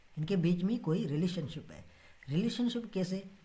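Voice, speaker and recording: Audible room echo surrounds a man speaking at a high pitch. His tone is dark and mellow. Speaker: Excel data analysis tutor. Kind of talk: tutorial. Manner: halting, many filler sounds.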